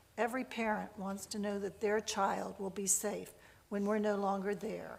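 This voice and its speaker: Fairly slow speech from a woman. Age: 70s. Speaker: parent advocate testifying at budget hearing. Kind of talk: public testimony. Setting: legislative committee hearing. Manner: formal.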